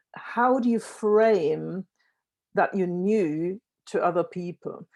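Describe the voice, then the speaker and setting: A dark, mellow tone with ordinary pitch variation. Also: woman. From Germany. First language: German. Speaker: workshop facilitator. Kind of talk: breakout group summary in a virtual event.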